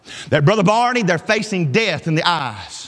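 Animated in tone, a man speaks at a moderate pace with very wide pitch swings. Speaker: pastor. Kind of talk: sermon. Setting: church. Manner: animated, exhortative pulpit delivery, pressing the congregation with direct appeals; conversational, homespun, pausing for amens and laughing at his own stories. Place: church.

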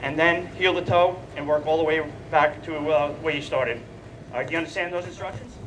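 Over noticeable background noise, a man talks very fast in a high pitch with fairly even intonation. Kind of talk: instructional demonstration. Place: stage. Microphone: headset.

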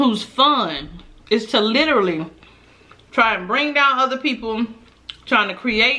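At a fairly slow pace broken by long, frequent pauses, a woman speaks with ordinary pitch variation. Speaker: eating vlogger. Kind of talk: casual vlog chat. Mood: venting, opinionated. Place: home room.

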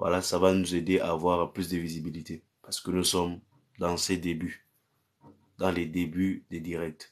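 A man's very deep, low voice in monotone, flat intonation at a fairly slow pace, with long, frequent pauses and a quiet background. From Cameroon. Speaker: pastor. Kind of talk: live-stream prayer and chat with viewers. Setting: live stream on social media. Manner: repetitive incantatory declarations. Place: home room. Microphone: phone near.

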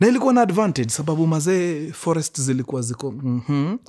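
In a quiet background, a man is speaking. His pace is fairly quick. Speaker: storyteller host. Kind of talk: storytelling narration in Swahili-English mix. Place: home room.

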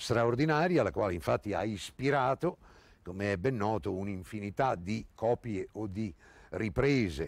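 A man talks at a moderate pace in a fairly low voice with very wide pitch swings. The sound is dry with no echo. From Italy. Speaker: actor. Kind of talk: literary introduction and commentary. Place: garden. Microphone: lapel.

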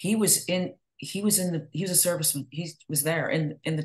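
This woman has an American accent and speaks at a moderate pace. The background is quiet. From northern US. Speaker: podcast host. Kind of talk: interview. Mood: engaged, empathetic.

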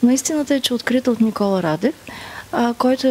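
A woman speaks, her pitch varying in an ordinary way. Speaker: speaker. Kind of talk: interview answer. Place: hall. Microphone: handheld.

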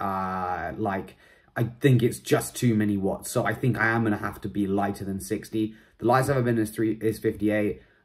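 This man has a plain, everyday voice, fairly low in pitch, moving at a moderate pace with ordinary pitch variation. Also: quiet background. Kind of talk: casual vlog chat. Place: home room. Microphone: phone near.

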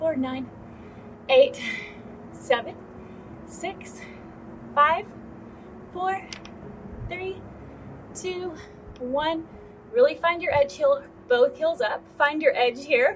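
Very slow speech with long, frequent pauses and light background noise. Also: woman, extremely high pitch for a woman. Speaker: fitness instructor. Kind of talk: workout instruction with counting. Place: garden.

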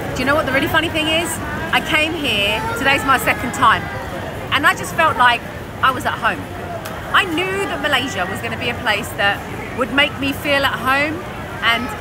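A woman speaks with long, frequent pauses. Crowd noise can be heard behind her. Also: moderate pace. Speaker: travel vlogger. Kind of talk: casual vlog chat. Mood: excited, warm. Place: market. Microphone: phone near.

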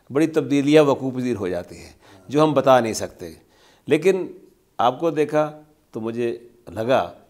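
A man speaks at a fairly slow pace with long, frequent pauses and lively intonation. His loudness swings widely, and the background is quiet. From Pakistan. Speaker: TV interviewer. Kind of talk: interview. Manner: formal. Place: studio.

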